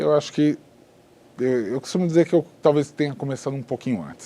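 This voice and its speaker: Here a man talks at a fairly quick pace in a dark, mellow tone. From São Paulo, Brazil. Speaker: businessman. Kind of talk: interview.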